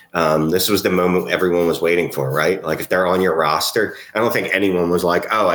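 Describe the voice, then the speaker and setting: With an American accent, a man talks at a very fast pace in a very deep, low pitch over noticeable background noise. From Philadelphia. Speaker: fantasy football podcast co-host. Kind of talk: casual chat.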